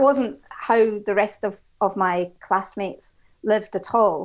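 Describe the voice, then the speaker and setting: A woman's fairly high voice in an Edinburgh accent, with ordinary pitch variation, in a very clean recording with a silent background. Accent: Scottish (Edinburgh). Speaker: HR executive. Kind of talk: interview.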